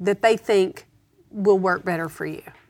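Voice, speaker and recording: A woman's unremarkable speaking voice, medium in pitch, with ordinary pitch variation. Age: 50s. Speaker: Bible teacher. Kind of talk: Bible teaching discussion.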